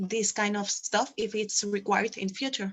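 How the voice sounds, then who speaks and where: A woman with a Spanish accent and fairly even intonation. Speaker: quadball team organizer. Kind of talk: panel Q&A. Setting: video call.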